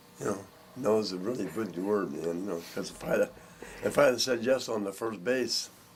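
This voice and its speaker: A man talks at a fairly low pitch with ordinary pitch variation. Noticeable background noise is present. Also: moderate pace. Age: 70s. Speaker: bass maker and music teacher. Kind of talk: casual chat.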